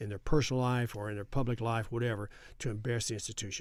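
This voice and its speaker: A man with a West Texas accent talks very fast at medium pitch in a very clean recording with a silent background. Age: 70s. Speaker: congressman. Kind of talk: interview.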